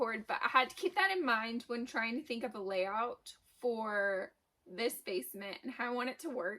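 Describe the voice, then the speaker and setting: A woman's high-pitched voice with a bright, sharp tone at a fairly slow pace. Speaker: small business owner, vlogger. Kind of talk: casual vlog. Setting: unfinished basement.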